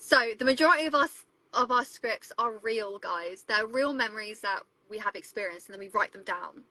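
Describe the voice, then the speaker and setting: A woman speaks at a fairly quick pace with a fairly high pitch, a bright, sharp tone and lively intonation, in a dry, close sound with no echo. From England. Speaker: travel vlogger and photographer. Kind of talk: live stream Q&A chat. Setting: live stream from a van with video calls. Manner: casual, chatty.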